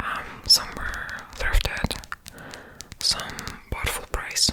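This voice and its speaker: A woman whispering at a very slow pace, with noticeable background noise. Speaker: ASMR content creator. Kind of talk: ASMR book haul, casual talk to camera. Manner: whispered, soft-spoken.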